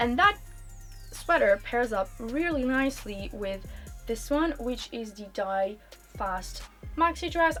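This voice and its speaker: Music plays behind a woman with a high pitch who speaks at a very slow pace with long, frequent pauses, very wide pitch swings and big swings in loudness. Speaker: cabin crew, fashion YouTuber. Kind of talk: casual talk to camera, clothing haul.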